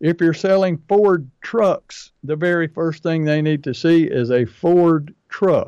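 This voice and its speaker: A high-pitched man at a very slow pace, with ordinary pitch variation and hardly any pauses. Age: 60s. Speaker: pest control marketing coach and podcast host. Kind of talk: casual business podcast chat.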